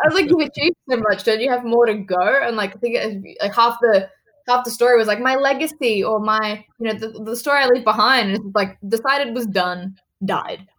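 A woman speaks with an Australian accent. Her pitch is fairly high, with ordinary pitch variation. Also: fairly quick pace. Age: 20s. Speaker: actress. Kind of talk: casual interview.

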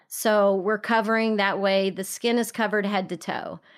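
A woman speaks at a medium pitch with a Texan accent. The recording is very clean, with a silent background. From Texas. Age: 40s. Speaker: podcast host and entrepreneur. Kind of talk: interview conversation.

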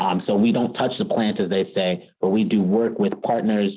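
In a Californian accent, a man speaks at a moderate pace. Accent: General American (Californian). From US West Coast, Bay Area California. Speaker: lawyer at a cannabis tech company. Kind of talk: podcast interview.

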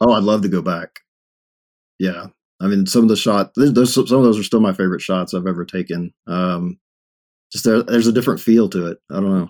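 A man with a Texan accent speaks at a fairly low pitch and a fairly quick pace, with ordinary pitch variation and long, frequent pauses. The recording is very clean with a silent background, the sound dry and close with no echo. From East Texas (Longview). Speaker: web developer and street photographer. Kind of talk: casual interview chat.

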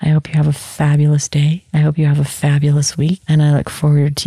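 A woman speaks in a very deep, low pitch with a calm, gentle, dark and mellow tone, somewhat breathy. Her intonation is monotone and flat, and the sound is dry and close with no echo. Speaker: podcast host and meditation guide. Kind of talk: guided meditation, soothing instructions to a listener lying down with eyes closed. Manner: slow, calm and gentle, with long pauses between phrases; warm, soft-spoken and reassuring, with a low, hushed tone.

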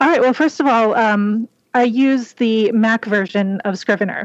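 A woman with a plain, everyday voice speaks at a moderate pace, her fairly high pitch moving with ordinary variation, in a dry, close sound with no echo. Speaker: indie author. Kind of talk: panel discussion.

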